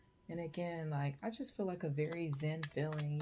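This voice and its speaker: Her tone dark and mellow, a woman speaks in a somewhat breathy voice. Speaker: tarot reader. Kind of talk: tarot reading. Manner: laid-back.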